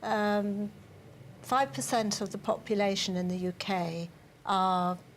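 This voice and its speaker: On a very clean recording with a silent background, a woman's voice comes across somewhat breathy. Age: 60s. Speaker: adult literacy group organiser. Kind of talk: TV news interview.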